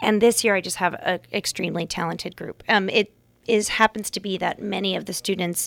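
A woman with an American accent has an unremarkable speaking voice at a medium pitch. The sound is dry and close with no echo, in a very clean recording with a silent background. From US California Bay Area. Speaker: drama teacher. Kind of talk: casual interview. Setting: studio.

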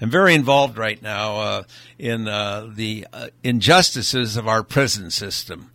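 This man has a bright, sharp tone and a fairly low pitch, talking at a moderate pace with ordinary pitch variation. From Hawaii. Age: 80s+. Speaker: vintner and philanthropist. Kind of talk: interview. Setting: studio. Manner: halting.

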